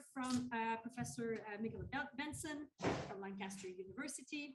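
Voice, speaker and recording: A loud, high-pitched woman's voice at a moderate pace. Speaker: panel chair. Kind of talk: panel introduction. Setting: conference hall with audience. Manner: hesitant, many fillers.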